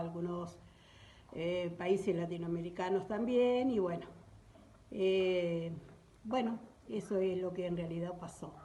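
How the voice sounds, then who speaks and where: A woman's medium-pitched voice at a fairly slow pace, with fairly even intonation and audible room echo. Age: 70s. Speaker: witness sharing memories. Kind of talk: testimony.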